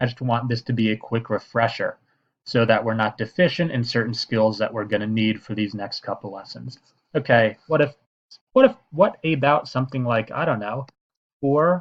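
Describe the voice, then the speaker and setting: At a moderate pace, a man speaks with a medium pitch in an unremarkable speaking voice. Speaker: math teacher. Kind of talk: tutorial.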